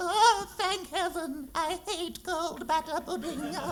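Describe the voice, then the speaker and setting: Over clear background noise, a man puts on a character voice at an extremely high pitch, speaking at a fairly slow pace. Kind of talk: comic overacting. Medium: stage play.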